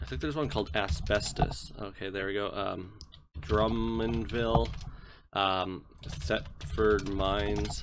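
A man speaks at a fairly slow pace in a fairly low pitch with vocal fry and very wide pitch swings. Audible room echo surrounds his voice. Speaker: gaming YouTuber. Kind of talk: gameplay commentary. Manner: hesitant, many filler words.

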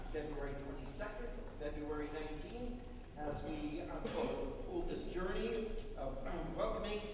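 A man speaks at a fairly slow pace amid noticeable background noise and strong room echo. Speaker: minister. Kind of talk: church announcements. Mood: upbeat, enthusiastic. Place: church.

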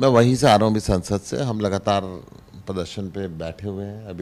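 A man's fairly low voice proceeds at a moderate pace. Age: 60s. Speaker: politician, member of parliament; politician. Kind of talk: interview. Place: office. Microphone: handheld.

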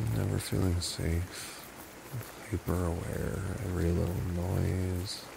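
Over noticeable background noise, a soft-spoken man with a very deep, low pitch speaks very slowly with fairly even intonation and long, frequent pauses. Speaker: ASMR roleplay creator. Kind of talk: boyfriend comfort roleplay. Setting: home recording, low-quality mic. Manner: soft-spoken, slow.

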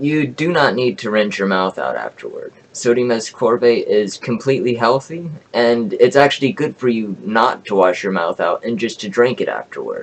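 A man talks at a moderate pace with hardly any pauses. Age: 20s. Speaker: YouTuber sharing home remedy; self-made science vlogger. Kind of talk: reading from notes to camera. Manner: halting. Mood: indignant at the end. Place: home room. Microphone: webcam.

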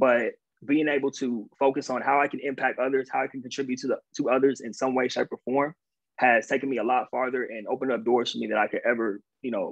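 At a fast pace, the voice carries a slightly husky edge and fairly even intonation. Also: man, medium pitch for a man.

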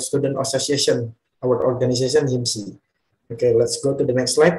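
With an Indonesian accent, a man speaks at a fairly quick pace in a somewhat breathy voice. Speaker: student presenter. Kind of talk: presentation. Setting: video call. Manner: halting. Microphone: video call.

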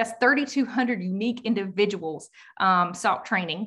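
Against a quiet background, a woman with a Southern US accent speaks in a bright, sharp tone. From US South. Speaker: state party director. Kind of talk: presentation. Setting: video call. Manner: fast talker; excited, animated. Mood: upbeat, grateful. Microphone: video call.

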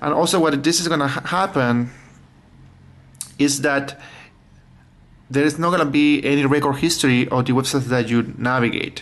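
The loudness stays very even and the intonation fairly even. Long, frequent pauses break up the speech. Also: man, moderate pace. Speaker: tech tips vlogger. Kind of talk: tutorial. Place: home room. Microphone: phone near.

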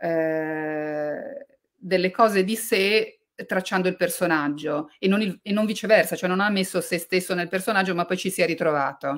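A woman speaks in a plain, everyday voice at medium pitch. Her pace is moderate, with ordinary pitch variation. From Liguria and Tuscany, Italy. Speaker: novelist and journalist. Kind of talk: book talk interview.

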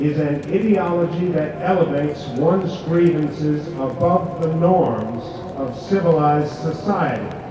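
A man with a high voice and ordinary pitch variation speaks amid noticeable background noise and strong room echo. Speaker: speaker. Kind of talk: public speech. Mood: grave, earnest. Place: street.

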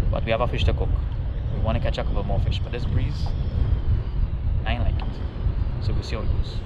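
A man talks at a very fast pace against loud background noise. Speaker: kayak angler vlogger. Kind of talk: casual vlog chat. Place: boat. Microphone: phone near.

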